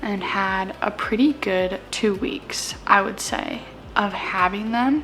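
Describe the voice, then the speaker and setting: Very slow, soft-spoken speech from a woman amid noticeable background noise. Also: medium pitch for a woman, ordinary pitch variation. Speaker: vlogger and foster parent. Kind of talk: casual vlog chat. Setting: at home.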